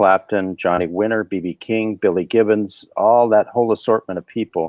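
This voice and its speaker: A man with a normal speaking voice and an American accent, fairly low in pitch, at a moderate pace with ordinary pitch variation. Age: 50s. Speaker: session guitarist. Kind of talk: casual interview.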